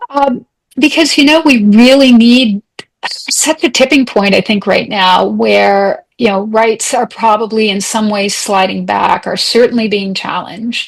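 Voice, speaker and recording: A woman with a Canadian accent has an ordinary speaking voice, fairly high in pitch, with ordinary pitch variation and a fairly slow pace. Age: 60s. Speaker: human rights advocate. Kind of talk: interview conversation.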